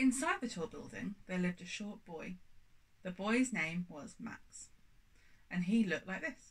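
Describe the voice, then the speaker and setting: A somewhat breathy voice moves at a fairly slow pace, with long, frequent pauses. The tone is animated and playful, and the intonation is lively. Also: woman. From UK. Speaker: audiobook reader. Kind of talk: children's audiobook reading, storybook narration. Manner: animated, playful storyteller; warm, chatty, cheery. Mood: warm, playful narration. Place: home room.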